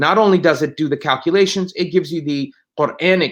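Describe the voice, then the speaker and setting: A man at a fairly quick pace with an Arabic accent, against a quiet background. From Palestine (Ramallah area), born in New Jersey. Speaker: lawyer and Islamic law expert. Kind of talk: interview. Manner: halting, many fillers and repetitions.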